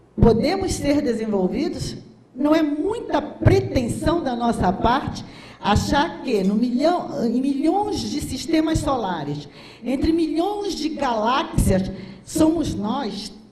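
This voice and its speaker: Audible room echo surrounds a woman speaking at a very slow pace with very wide pitch swings. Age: 60s. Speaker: physician and speaker. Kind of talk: lecture. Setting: stage with audience. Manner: animated.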